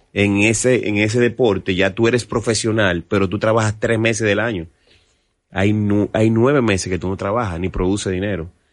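A man's ordinary speaking voice, fairly low in pitch, at a moderate pace with fairly even intonation against a quiet background. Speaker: merengue musician. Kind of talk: casual interview.

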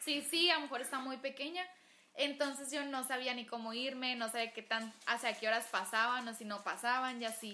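High pitch with ordinary pitch variation in a woman's voice. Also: moderate pace. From Agua Prieta, Sonora, Mexico. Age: 20s. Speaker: gastronomy student. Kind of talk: casual chat.

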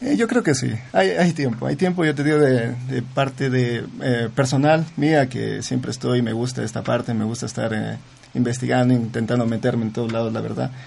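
The speech moves at a moderate pace with ordinary pitch variation. There is noticeable background noise. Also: man, medium pitch for a man. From Zamora province, Ecuador. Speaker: student entrepreneur. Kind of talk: radio interview. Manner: halting, many repetitions.

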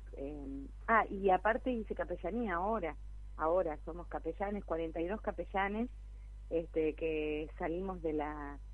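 A woman at a fairly slow pace, with an Argentine accent. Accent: Rioplatense Argentine Spanish. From Argentina, Buenos Aires province town. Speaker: local council candidate and church leader. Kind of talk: radio interview. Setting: phone call.

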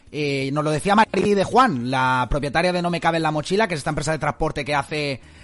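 Using a plain, everyday voice, a man speaks at a fairly quick pace with ordinary pitch variation. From Spain, Alicante (Dénia). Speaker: radio host. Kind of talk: casual radio chat.

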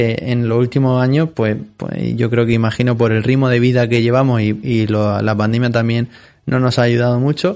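Fairly even intonation marks speech delivered at a moderate speed. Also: man, medium pitch for a man. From Spain, Murcia (Molina de Segura). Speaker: fitness centre owner. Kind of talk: interview. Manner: halting, frequent repetitions.

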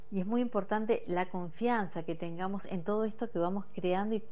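A woman speaks at a medium pitch in a dark, mellow tone with ordinary pitch variation. Her pace is moderate. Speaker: radio host. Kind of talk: radio interview. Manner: hesitant, many fillers.

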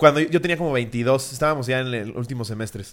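Very clean recording, silent background: a man's plain, everyday voice, medium in pitch, fairly quick, with ordinary pitch variation. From Mexico, State of Mexico. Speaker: comedy podcast host. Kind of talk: casual chat.

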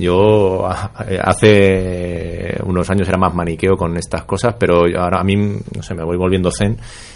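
A man with a very deep, low voice speaks in a fairly even intonation over noticeable background noise. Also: fairly slow pace. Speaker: cyclist activist. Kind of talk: casual chat.

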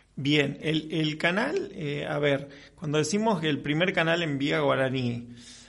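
Audible room echo carries a man's fairly high voice. He speaks at a fairly slow pace, with big swings in loudness. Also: ordinary pitch variation. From Argentina, Chaco. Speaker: radio host. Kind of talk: radio interview.

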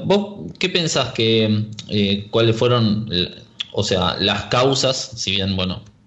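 The man's voice is fairly low in pitch with ordinary pitch variation. He speaks very slowly, and audible room echo surrounds him. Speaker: radio host. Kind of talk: radio interview.

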